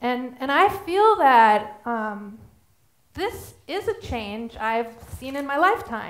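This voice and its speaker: Speaking at a very slow pace, a woman uses a high pitch with very wide pitch swings. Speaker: artist. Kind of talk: prepared statement in court. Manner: halting. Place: stage. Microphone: headset.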